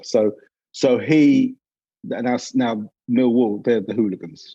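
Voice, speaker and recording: Someone talks in a London accent with a dark, mellow tone. The pace is fairly slow, with ordinary pitch variation. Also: man. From England, North London. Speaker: advertising creative director. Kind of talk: interview conversation.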